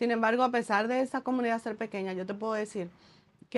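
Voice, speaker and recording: Fairly even in intonation, a woman speaks in a normal speaking voice at a fairly high pitch. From Dominican Republic, Santo Domingo. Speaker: entrepreneur and author. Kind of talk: casual interview chat.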